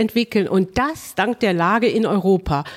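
Against noticeable background noise, a woman speaks with ordinary pitch variation in a dry, close sound with no echo. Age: 50s. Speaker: mayor. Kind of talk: interview.

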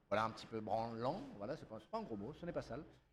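A man talks at a very fast pace in an animated, somewhat breathy voice with ordinary pitch variation. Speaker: podcast host. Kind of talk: casual chat. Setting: studio.

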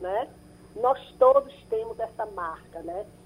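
The woman's voice sits at a fairly high pitch. Its pitch variation is ordinary. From Brazil. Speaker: psychologist and psychoanalyst. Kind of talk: radio interview. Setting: radio broadcast. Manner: halting, many fillers.

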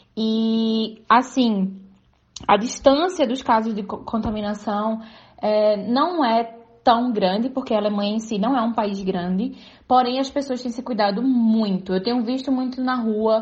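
A woman's somewhat breathy, fairly high voice at a fairly slow pace, with fairly even intonation. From Pernambuco, Brazil. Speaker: journalist. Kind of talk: recorded report.

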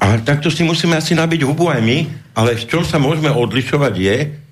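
Somewhat breathy speech at a very fast pace, with ordinary pitch variation and audible room echo. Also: man. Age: 60s. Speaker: politician, founder of a new movement. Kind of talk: radio interview. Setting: studio. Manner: halting.

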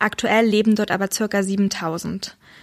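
Captured in dry, close sound with no echo, a woman talks at a fairly slow pace with a fairly high pitch. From Saxony, Germany. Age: 20s. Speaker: doctor. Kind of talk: interview. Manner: hesitant, many fillers.

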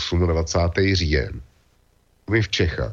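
A man is talking. His pace is very slow. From Czech Republic. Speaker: web portal founder and commentator. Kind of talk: casual discussion.

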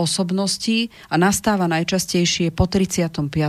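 A woman with a plain, everyday voice speaks at a fairly low pitch with ordinary pitch variation, recorded very cleanly against a silent background. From Czech Republic, Prague. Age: 40s. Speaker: relationship counselor. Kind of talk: radio interview. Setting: studio.

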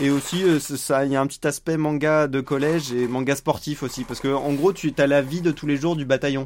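Talking at a fairly quick pace with hardly any pauses, a man keeps a monotone, flat intonation at a fairly high pitch. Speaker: podcast co-host. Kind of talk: casual chat.

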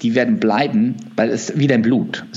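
This is a male speaker. The pitch rises and falls in an ordinary way. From Switzerland. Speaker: natural bodybuilder. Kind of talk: interview. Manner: halting.

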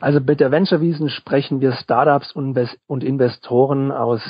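The speaker is a man with a medium-pitched voice. He talks at a fairly quick pace. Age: 20s. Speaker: student event organizer. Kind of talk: interview. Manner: hesitant, with filler sounds.

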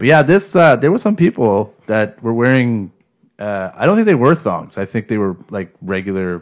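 A man's medium-pitched voice at a moderate pace, with very wide pitch swings. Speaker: podcast co-host. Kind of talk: casual chat. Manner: slight stutter.

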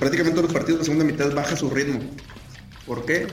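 Noticeable background noise and audible room echo accompany a man as he talks. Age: 30s. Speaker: NFL podcast panelist. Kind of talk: casual chat.

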